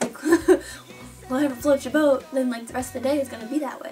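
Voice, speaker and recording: A woman speaks in an upbeat tone at a high pitch, with music playing in the background. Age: young. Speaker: competitive cheerleader. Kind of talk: casual talk to camera. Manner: upbeat, rambling.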